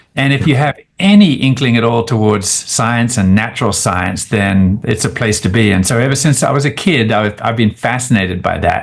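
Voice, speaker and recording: A man speaks with an Australian accent. He keeps a moderate pace with hardly any pauses. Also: medium pitch for a man, ordinary pitch variation, very even loudness. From Australia, rural. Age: 60s. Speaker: scientist. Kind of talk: interview. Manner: hesitant fillers.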